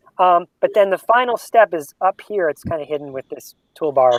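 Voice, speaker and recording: A high-pitched man talking very fast with lively intonation. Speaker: assistive technology specialist. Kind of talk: tutorial.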